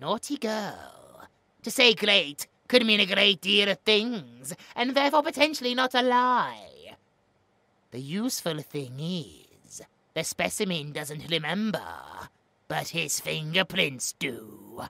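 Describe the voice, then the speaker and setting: With very wide pitch swings around a middle pitch, a female-sounding voice does a put-on character voice at a fairly slow pace. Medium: audio drama. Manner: smug, mocking.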